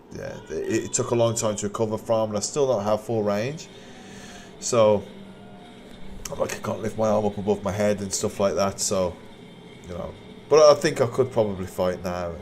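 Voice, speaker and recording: Amid noticeable background noise, a man speaks at a fairly low pitch and a moderate pace, with ordinary pitch variation and long, frequent pauses. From West Midlands, England (Wolverhampton). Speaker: Muay Thai fighter and coach, live streamer. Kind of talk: casual live-stream commentary and chat. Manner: hesitant, many repetitions and fillers.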